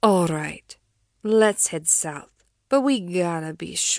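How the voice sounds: Lively intonation in a natural reading voice, quiet background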